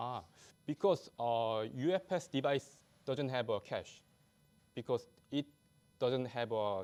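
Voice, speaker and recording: With a non-native accent and medium pitch, a man speaks at a fairly slow pace with long, frequent pauses on a very clean recording with a silent background. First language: not English. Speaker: conference speaker, software developer. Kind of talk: conference talk with Q&A. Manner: halting.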